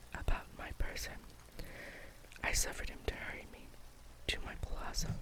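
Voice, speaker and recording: The speaker whispers at a moderate pace. Behind the whisper sits noticeable background noise. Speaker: ASMR reader. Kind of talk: read story, bedtime. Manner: whispered.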